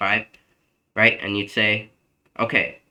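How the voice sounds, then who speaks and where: The man's bright, sharp tone comes through in a very clean recording over a silent background. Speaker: math tutor. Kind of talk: tutoring session. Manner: fast; casual with fillers.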